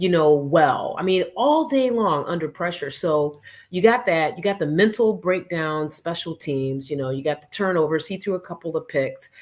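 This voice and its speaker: Speech with hardly any pauses comes through in a very clean recording with a silent background. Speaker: sports podcast co-host. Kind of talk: casual sports talk. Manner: fast.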